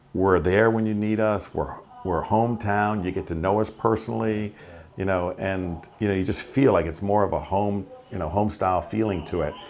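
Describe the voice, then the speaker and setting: A man with a Long Island accent speaks at a moderate pace in a fairly low pitch with fairly even intonation, over noticeable background noise. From Long Island, New York. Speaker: auto repair shop owner. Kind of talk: interview answer. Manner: casual, conversational.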